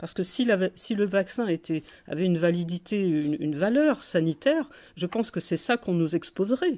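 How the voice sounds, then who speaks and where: A woman's medium-pitched voice, dark and mellow in tone, with lively intonation and a fairly quick pace. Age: 60s. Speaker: political activist and blogger. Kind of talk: phone call with a government hotline. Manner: halting, many hesitations and repetitions.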